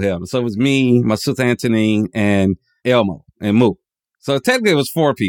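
A fairly quick delivery with ordinary pitch variation and a dry, close sound with no echo. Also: man, medium pitch for a man. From US South, Georgia (South DeKalb). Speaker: podcast co-host, designer. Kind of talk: casual chat.

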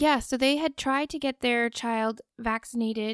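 A woman's unremarkable speaking voice, fairly high in pitch and fairly even in intonation, comes at a moderate pace in a very clean, silent recording with a dry, close sound and no echo. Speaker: podcaster and former facility nurse. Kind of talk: casual chat.

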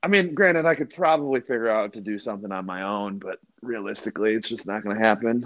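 In an American accent, the speaker talks at a very fast pace with ordinary pitch variation, recorded with a dry, close sound with no echo against a quiet background. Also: man. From Rockford, Illinois, US Midwest. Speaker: guest. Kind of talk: casual chat.

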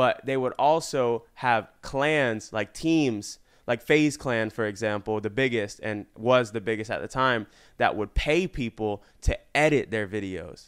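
A man with an American accent and medium pitch, a normal speaking voice at a fairly slow pace with ordinary pitch variation, on a very clean recording with a silent background. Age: 20s. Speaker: YouTuber and entrepreneur. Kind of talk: casual interview.

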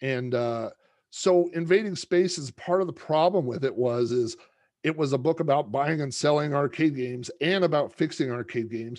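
A man has an ordinary speaking voice, pitched fairly high, against a quiet background. He speaks at a moderate pace with ordinary pitch variation. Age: 40s. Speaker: podcaster and author. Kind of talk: casual chat.

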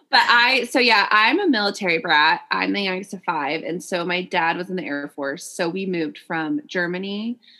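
A woman with a normal speaking voice and medium pitch talks at a moderate pace, her intonation lively. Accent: American. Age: 30s. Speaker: podcast co-host. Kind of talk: casual chat. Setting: remote recording.

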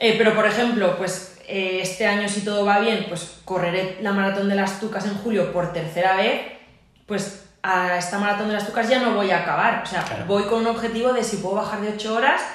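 A woman of medium pitch talks at a moderate pace with ordinary pitch variation. Noticeable background noise and audible room echo surround her. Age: 30s. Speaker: physiotherapist and trail runner. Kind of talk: casual interview. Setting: physiotherapy clinic.

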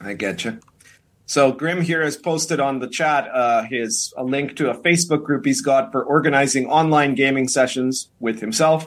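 In a plain, everyday voice, someone speaks at a moderate pace with ordinary pitch variation, on a very clean recording with a silent background. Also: man, fairly high pitch for a man. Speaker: show host. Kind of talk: casual chat.

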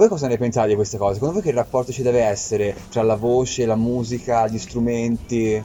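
Noticeable background noise sits under the speech. The pace is fairly quick, with hardly any pauses and fairly even intonation. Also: man, medium pitch for a man. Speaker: talk show host. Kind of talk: casual chat. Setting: live event venue.

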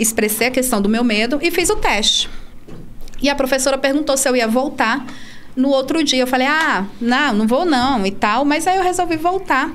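A woman speaks at a moderate pace with lively intonation and a high pitch, her loudness very even. There is audible room echo and noticeable background noise. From Brazil, Brasília. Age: 30s. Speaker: para-canoe athlete and teacher. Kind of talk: casual interview.

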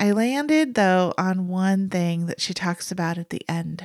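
In a dry, close sound with no echo, a woman at medium pitch talks at a fairly slow pace with a warm, enthusiastic tone. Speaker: podcast host, former therapist. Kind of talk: interview. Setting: video call.

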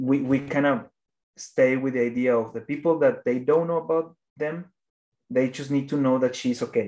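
A man with a Spanish accent talks at a moderate pace in a dark, mellow tone. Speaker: animation filmmaker. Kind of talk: interview. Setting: phone or video call. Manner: halting.

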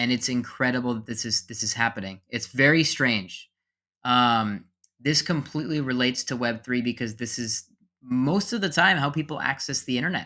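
A man talks at a moderate pace with a medium pitch and ordinary pitch variation. His tone is bright and sharp on a very clean recording with a silent background. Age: 20s. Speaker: podcast host. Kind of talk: unscripted monologue. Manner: halting.

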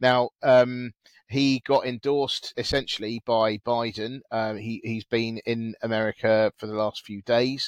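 With a British accent, a man speaks fairly slowly in a medium-pitched monotone, the sound dry and close with no echo. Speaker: podcast host. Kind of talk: casual chat. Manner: chatty, hesitant with many fillers.

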